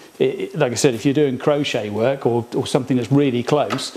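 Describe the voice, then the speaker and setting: Noticeable background noise runs under the recording. A man with an English accent speaks with fairly even intonation. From England. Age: 50s. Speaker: hobbyist workshop video maker. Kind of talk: casual tutorial. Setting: workshop. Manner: halting, many fillers.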